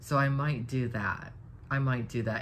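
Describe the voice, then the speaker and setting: Audible room echo surrounds a woman's voice. She talks at a moderate pace with fairly even intonation. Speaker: live streamer. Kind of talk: casual chat. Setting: live stream.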